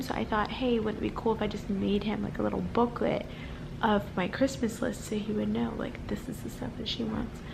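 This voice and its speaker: Quietly and at a fairly quick pace, a woman talks amid noticeable background noise and audible room echo. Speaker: vlogger. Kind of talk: casual vlog.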